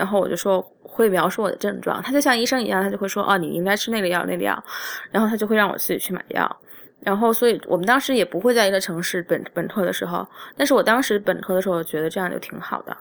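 A woman's medium-pitched voice with vocal fry, ordinary pitch variation and a very fast pace. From China. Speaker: podcast host, illustrator and restaurant manager. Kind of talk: solo monologue podcast. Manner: halting, many fillers.

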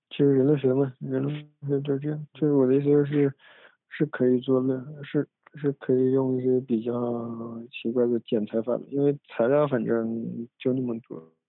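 A medium-pitched man's voice, flat and monotone, at a moderate pace. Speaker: podcast host. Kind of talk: casual chat. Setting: recorded at family home. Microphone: phone instead of microphone, low quality.

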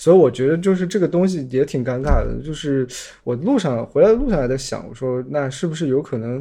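Against a quiet background, a man speaks fairly quickly at a medium pitch, his tone dark and mellow, with ordinary pitch variation. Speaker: guest, photography enthusiast. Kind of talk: casual chat. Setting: video call.

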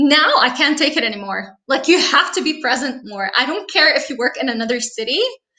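Using a raised, projected voice, a woman speaks at a high pitch with lively intonation and hardly any pauses. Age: 30s. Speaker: preschool teacher and translator. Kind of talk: casual interview.

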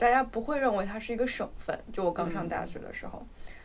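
Over noticeable background noise, a woman speaks at a fairly high pitch and a fairly quick pace. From Guizhou, China. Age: 30s. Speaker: podcast co-host. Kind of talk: casual chat.

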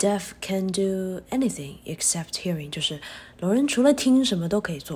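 The intonation sounds lively. There is a somewhat breathy quality to the voice. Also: woman. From China. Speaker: special education teacher. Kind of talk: casual chat.

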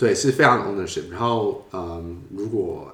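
With audible room echo, a somewhat breathy man talks at a fairly slow pace, his pitch swinging very widely. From Taiwan. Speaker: user experience designer. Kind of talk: interview.

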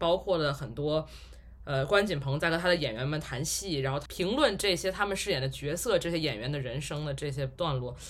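Fairly quick, somewhat breathy delivery with typical pitch movement. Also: man. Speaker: podcast host. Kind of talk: casual chat.

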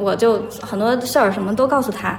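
There is audible room echo and noticeable background noise as a woman speaks with fairly even intonation. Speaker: podcast guest. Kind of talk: casual chat.

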